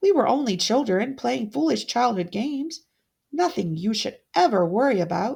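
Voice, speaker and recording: A put-on character voice with very wide pitch swings, delivered at a moderate pace. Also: woman, fairly high pitch for a woman. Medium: read story. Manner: warm, courteous.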